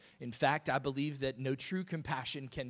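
A man's fairly high voice, an ordinary speaking voice, with ordinary pitch variation in a very clean recording over a silent background. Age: 40s. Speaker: pastor. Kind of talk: sermon.

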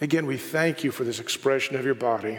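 Noticeable background noise can be heard. Over it, a man speaks with ordinary pitch variation. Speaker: pastor. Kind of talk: sermon and worship leading; fervent prayer, intimate and pleading, spoken aloud to God. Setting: church. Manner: earnest, heartfelt, reverent.

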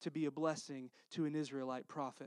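The man's voice sits at a fairly high pitch. The background is quiet. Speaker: pastor. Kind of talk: sermon. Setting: church.

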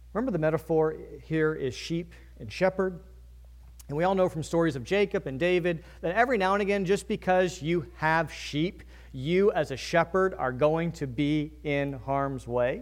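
In an American accent, a man with a fairly high pitch talks at a moderate pace in a plain, everyday voice with ordinary pitch variation. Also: very clean recording, silent background. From Virginia. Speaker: pastor. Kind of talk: sermon.

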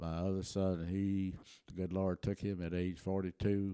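A man speaks at a moderate pace with a very deep, low, dark and mellow voice in a flat monotone. The sound is dry and close with no echo, on a very clean recording with a silent background. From Texas, German-speaking settlement near Taylor. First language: German. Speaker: retired insurance agent, church member. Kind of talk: interview storytelling.

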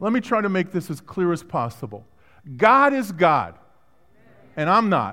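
In a raised, projected voice, a man with an American accent speaks at a moderate pace in a high pitch, with a bright, sharp tone. His pitch swings very widely, and he leaves long, frequent pauses. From Brooklyn, New York. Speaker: guest preacher. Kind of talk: sermon. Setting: church.

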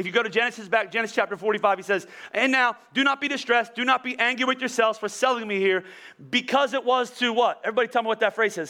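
Raised and projected, a man's extremely high-pitched voice races at a very fast pace with a bright, sharp, animated tone. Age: 40s. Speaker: pastor. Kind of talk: sermon. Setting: church.

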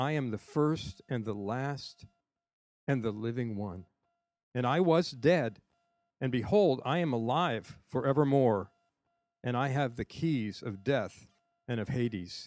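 A man's lively intonation at a fairly slow pace, with long, frequent pauses and music in the background. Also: medium pitch for a man. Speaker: scripture reader. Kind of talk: reading aloud. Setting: church service on a college campus.

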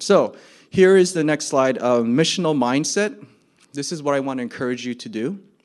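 Using a plain, everyday voice, a man with an American accent speaks at a moderate pace with lively intonation. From New Jersey. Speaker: missionary. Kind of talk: testimony. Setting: church stage with audience.

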